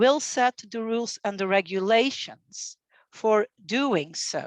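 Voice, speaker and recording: A woman speaks at a very slow pace with lively intonation. The background is quiet, and the sound is dry and close with no echo. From Belgium. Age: 50s. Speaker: university grants administrator. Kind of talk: training presentation. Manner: halting with frequent fillers.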